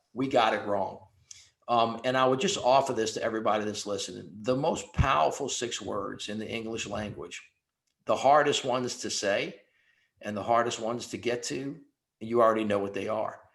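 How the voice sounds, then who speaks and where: A man with a medium pitch talks at a moderate pace, his pitch varying in an ordinary way, as audible room echo fills the space. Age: 60s. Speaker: panelist. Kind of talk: panel discussion.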